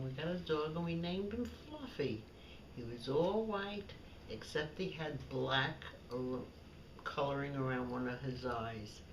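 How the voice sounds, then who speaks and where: With a New York accent, a woman's voice makes very wide pitch swings amid noticeable background noise and audible room echo. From Brooklyn, New York. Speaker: elderly woman recounting childhood memories. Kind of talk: family storytelling, reminiscence.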